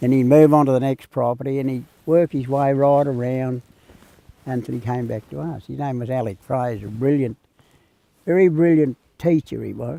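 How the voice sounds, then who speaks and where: In a rural Australian accent, a man of medium pitch with a dark, mellow tone speaks at a moderate pace, with ordinary pitch variation, big swings in loudness, and long, frequent pauses. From Australia, western New South Wales. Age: 80s+. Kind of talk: interview storytelling.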